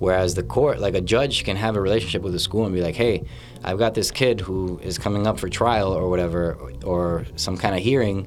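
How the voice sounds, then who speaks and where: Speaking fairly quickly in an American accent, a man uses a very deep, low pitch and ordinary pitch variation, with noticeable background noise and audible room echo. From Lawrence, Massachusetts. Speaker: high school social studies teacher. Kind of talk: casual interview. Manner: fast, run-on with fillers and repetitions.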